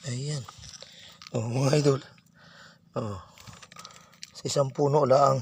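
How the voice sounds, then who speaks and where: A man with a medium-pitched voice speaks at a very slow pace, with long, frequent pauses. Background noise is noticeable. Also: fairly even intonation. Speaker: vlogger. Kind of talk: casual vlog narration. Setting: outdoors.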